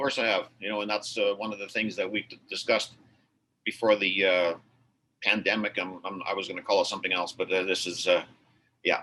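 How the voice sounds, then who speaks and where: A man with a fairly low pitch, a fairly quick pace, long, frequent pauses and big swings in loudness. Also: fairly even intonation. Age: 60s. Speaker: auto repair shop owner. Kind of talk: casual chat. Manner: halting.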